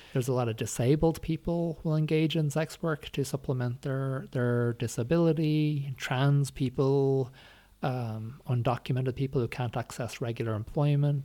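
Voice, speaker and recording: Against a silent background in a very clean recording, a man with an Irish accent speaks at medium pitch with fairly even intonation. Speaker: academic and former sex worker. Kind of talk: interview. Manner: halting.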